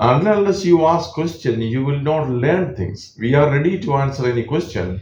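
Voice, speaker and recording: With a Keralan accent, a man speaks fairly slowly in a somewhat breathy, fairly high voice with very wide pitch swings, and room echo is audible. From India, Kerala. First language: Malayalam. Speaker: audiologist. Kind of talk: radio interview.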